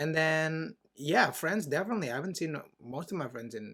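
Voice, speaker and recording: With an Indonesian accent, a man talks fairly quickly in a fairly high, bright, sharp voice with lively intonation. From Indonesia, Jakarta. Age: 20s. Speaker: podcast host. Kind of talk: casual chat.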